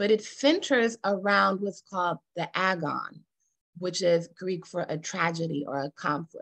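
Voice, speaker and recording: In a normal speaking voice, a woman talks at a fairly slow pace and medium pitch with ordinary pitch variation, the sound dry and close with no echo. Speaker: workshop facilitator. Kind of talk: interactive workshop presentation.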